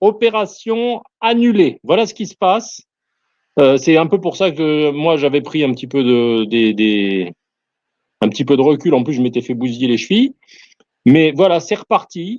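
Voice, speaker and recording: A man talks at a fairly slow pace in a fairly high pitch, his pitch swinging very widely. He leaves long, frequent pauses against a quiet background. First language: not French (speaking French). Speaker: soldier. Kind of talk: casual chat. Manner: halting, many hesitations.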